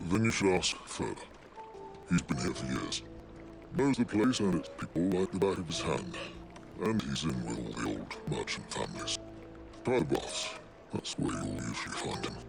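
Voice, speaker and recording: A man speaks in a put-on character voice, very deep and low, with very wide pitch swings at a moderate pace. Clear music plays in the background. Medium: machinima.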